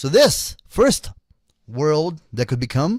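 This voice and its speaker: Very slowly, a man with a non-native accent talks with very wide pitch swings. The sound is dry and close with no echo, on a very clean recording with a silent background. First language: not English. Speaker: occult commentator. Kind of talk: monologue.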